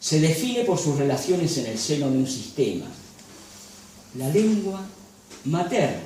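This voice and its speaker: A man with a fairly high pitch and very wide pitch swings at a fairly slow pace, with audible room echo and noticeable background noise. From Galicia, Spain. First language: Galician (speaking Spanish). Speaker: lecturer and photographer. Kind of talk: lecture. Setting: cultural association venue with audience. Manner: formal.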